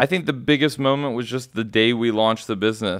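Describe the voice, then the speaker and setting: A man with an American accent talks at a fairly quick pace in a plain, everyday voice, his pitch varying in an ordinary way. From Texas, Houston. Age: 30s. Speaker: startup founder and CEO. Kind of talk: interview.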